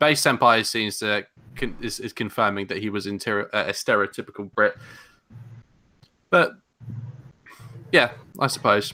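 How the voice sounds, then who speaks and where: A man with a London accent, a fairly low pitch, a bright, sharp tone and ordinary pitch variation, at a moderate pace with long, frequent pauses. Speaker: podcast host. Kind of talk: casual chat.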